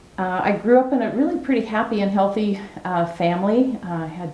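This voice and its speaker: Speaking with an American accent, a woman keeps a moderate pace and ordinary pitch variation. Noticeable background noise and audible room echo fill the recording. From US Pacific Northwest (Salem, Oregon). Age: 70s. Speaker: criminologist. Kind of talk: oral history interview.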